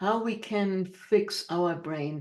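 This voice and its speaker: A woman with a German accent at a very slow pace, medium pitch and ordinary pitch variation. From Germany. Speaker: motivational speaker and author. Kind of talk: interview. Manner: chatty.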